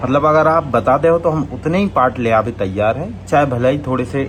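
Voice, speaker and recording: In a Bundeli accent, a man talks at a moderate pace with lively intonation against noticeable background noise. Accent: Bundeli-accented Hindi. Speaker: comedy channel creator. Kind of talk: channel outro and promotion.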